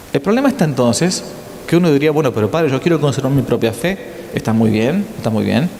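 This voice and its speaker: The speech comes very fast in a Rioplatense accent, with lively intonation and very even loudness. Noticeable background noise is present. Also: man, fairly high pitch for a man. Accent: Argentine Spanish (rioplatense). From Argentina. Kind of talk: lecture.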